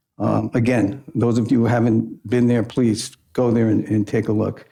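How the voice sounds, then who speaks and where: A man's voice has a dark, mellow tone and vocal fry. His intonation is monotone and flat, and his loudness stays very even. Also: medium pitch for a man, moderate pace. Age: 60s. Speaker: judge. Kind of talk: formal address. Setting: public meeting.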